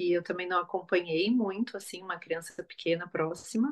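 A woman with a plain, everyday voice talks at a moderate pace and medium pitch, with ordinary pitch variation. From southern Brazil, Florianópolis. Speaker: psychologist. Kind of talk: casual interview chat.

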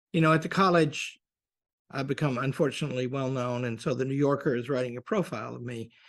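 A man with an American accent speaks at a very fast pace. His pitch varies in an ordinary way, and the background is quiet. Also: medium pitch for a man. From US South, Arkansas. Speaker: college president. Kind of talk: interview.

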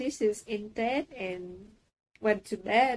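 This woman talks at a very slow pace, her pitch fairly high, with a Vietnamese accent. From Saigon, southern Vietnam. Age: 30s. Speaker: trainee manager. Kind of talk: interview. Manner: halting, many fillers.

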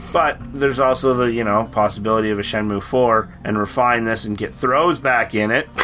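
A man at medium pitch, fairly quick in pace with hardly any pauses and ordinary pitch variation, over music in the background. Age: 30s. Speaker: podcast host. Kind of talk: casual chat. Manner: hesitant, many fillers.

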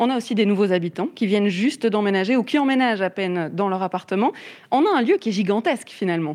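At a very fast pace, a woman speaks with lively intonation and a medium pitch. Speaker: radio host. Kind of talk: live radio interview. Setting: on location, live radio.

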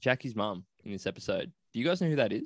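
A man with an Australian accent, in dry, close sound with no echo. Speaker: podcast host. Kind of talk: casual chat.

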